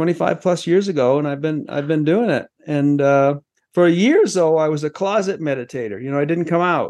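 In an American accent, a man talks at a fairly quick pace and a fairly high pitch. He has an ordinary speaking voice with ordinary pitch variation. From Maine, US. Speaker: business executive and mindfulness author. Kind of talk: interview conversation.

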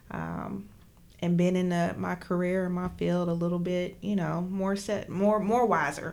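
A woman with an American accent talks at a fairly slow pace in a fairly low pitch. Her intonation is monotone and flat, and there is audible room echo. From southern West Virginia, McDowell County. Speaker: school social worker. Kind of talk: casual interview.

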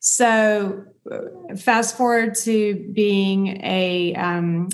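A woman with an American accent speaks at medium pitch. Her intonation is fairly even, and the room echo is audible. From US South. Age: 50s. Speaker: dietitian and author. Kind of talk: interview.

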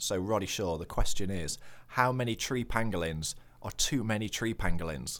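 A man speaks in a northern English accent. The recording is very clean, with a silent background. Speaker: nature podcast host. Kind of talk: casual comedic chat. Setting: studio.

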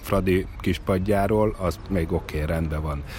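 Over noticeable background noise, a man talks at a moderate pace in a very deep, low pitch. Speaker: former footballer, football pundit. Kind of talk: casual chat. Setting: outdoors. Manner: hesitant with filler sounds.

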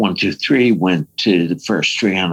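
A man speaks with an American accent. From New York. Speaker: recording and mix engineer. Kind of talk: interview. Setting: remote call from his studio.

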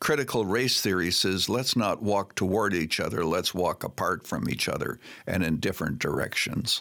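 A man's fairly low voice with a bright, sharp tone, lively intonation, a moderate pace, hardly any pauses and very even loudness. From Canada. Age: 80s+. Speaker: pastor emeritus and author. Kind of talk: interview.

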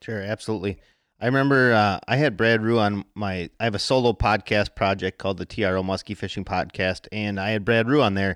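An unremarkable speaking voice from a man with an American accent, pitched fairly low, at a fairly quick pace with fairly even intonation. The recording is very clean with a silent background and a dry, close sound with no echo. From Wisconsin. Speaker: fishing podcast host. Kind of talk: casual interview chat.

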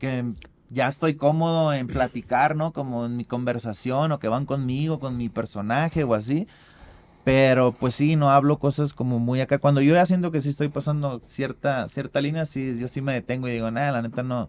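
Here is a man with a normal speaking voice at a medium pitch. He keeps a moderate pace and fairly even intonation. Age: 30s. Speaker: rapper and beatmaker. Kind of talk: casual chat.

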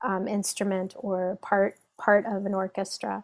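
The recording is very clean, with a silent background and a dry, close sound with no echo. A woman speaks at a medium pitch and a fairly slow pace. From Iran, raised in the US. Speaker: belly dance teacher. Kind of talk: podcast interview. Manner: hesitant, with fillers.

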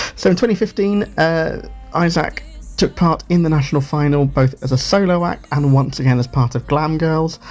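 Music plays in the background. A man with a British accent speaks with lively intonation. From United Kingdom. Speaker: radio feature presenter. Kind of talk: radio show presenting.

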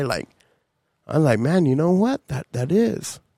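This man has a normal speaking voice with ordinary pitch variation. He speaks at a moderate pace. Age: 40s. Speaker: podcast co-host. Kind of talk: casual chat.

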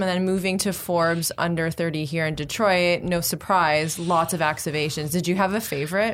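This woman has a plain, everyday voice with a fairly low pitch and hardly any pauses. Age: 30s. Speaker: tech podcast host. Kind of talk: casual interview chat. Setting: studio.

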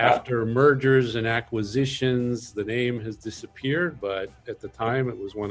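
A man talks at a moderate pace with ordinary pitch variation. His pitch is medium, and music plays in the background. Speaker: podcast host. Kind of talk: reading aloud; interview.

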